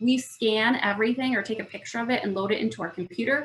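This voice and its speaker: With ordinary pitch variation, a woman speaks at a fairly quick pace in a fairly high voice. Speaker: food business workshop presenter. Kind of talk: online workshop presentation. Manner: fast.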